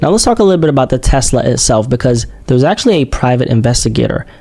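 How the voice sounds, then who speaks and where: A man speaks at a medium pitch. Background noise can be clearly heard. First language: not English. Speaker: true crime reaction youtuber. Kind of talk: casual commentary. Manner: conversational, frequent okay/right fillers.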